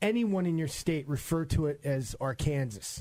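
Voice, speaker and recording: Man with a New York accent, fairly high in pitch, speaking at a fairly slow pace. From New York, Long Island. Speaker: radio host. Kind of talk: radio interview. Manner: animated.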